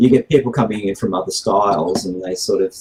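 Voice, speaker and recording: A man with an Australian accent, fairly low pitch and ordinary pitch variation. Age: 60s. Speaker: martial arts instructor. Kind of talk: podcast interview. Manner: hesitant, many fillers.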